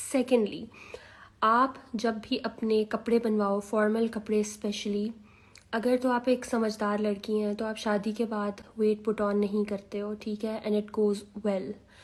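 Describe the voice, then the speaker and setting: A soft-spoken woman with monotone, flat intonation. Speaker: lifestyle vlogger. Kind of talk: casual advice vlog. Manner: soft, quiet.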